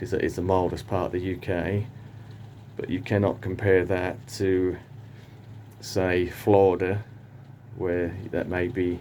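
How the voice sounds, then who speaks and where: Through audible room echo, a man with a British accent speaks in a very deep, low pitch and a dark, mellow tone, fairly slowly and with fairly even intonation and long, frequent pauses. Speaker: palm grower and gardening vlogger. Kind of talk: casual monologue vlog. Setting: greenhouse. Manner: hesitant, thinking aloud.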